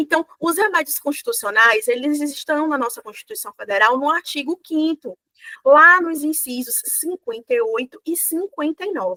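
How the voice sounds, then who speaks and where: In a raised, projected voice, a woman speaks at a moderate pace with a high pitch and very wide pitch swings, the sound dry and close with no echo. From Bahia, Brazil. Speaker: law professor. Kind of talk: lecture. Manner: many filler hesitations (é).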